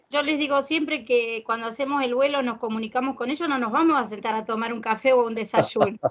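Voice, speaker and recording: A woman with a Rioplatense accent talks at a very fast pace with hardly any pauses, her high pitch held in fairly even intonation. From Argentina. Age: 50s. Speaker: grief support group leader; host of a spiritual talk. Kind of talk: interview. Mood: warm, emotional. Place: home room. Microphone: video call.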